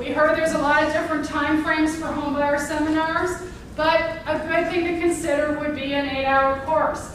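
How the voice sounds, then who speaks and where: A woman's high-pitched, monotone, flat delivery amid audible room echo and noticeable background noise. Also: moderate pace. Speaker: housing counseling presenter. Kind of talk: workshop presentation.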